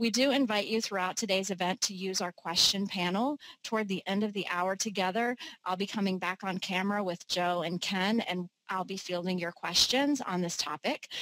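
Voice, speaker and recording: At a moderate pace, a woman speaks with ordinary pitch variation, the sound dry with no echo and the background quiet. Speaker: webinar host. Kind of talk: webinar host introduction. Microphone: headset.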